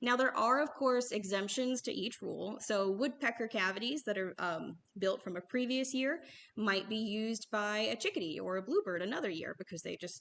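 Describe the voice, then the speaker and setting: A woman's moderate-paced speech with lively intonation and hardly any pauses. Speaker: bird store staff presenter. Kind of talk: livestream presentation. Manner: halting.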